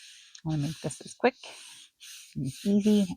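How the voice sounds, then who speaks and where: A soft-spoken woman talks at a moderate pace with ordinary pitch variation. The sound is dry and close, with no echo. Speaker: crafting video maker. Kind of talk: craft tutorial.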